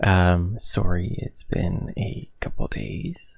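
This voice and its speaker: A man with a very deep, low pitch sounds somewhat breathy, and his pitch variation is ordinary. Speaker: gaming YouTuber. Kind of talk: gameplay commentary. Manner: casual, hesitant with fillers.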